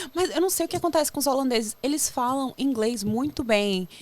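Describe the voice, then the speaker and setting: The intonation is lively. The speaker has a regional Brazilian accent. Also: woman. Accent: own regional Brazilian. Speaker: podcast guest, Brazilian immigrant. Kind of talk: casual interview chat.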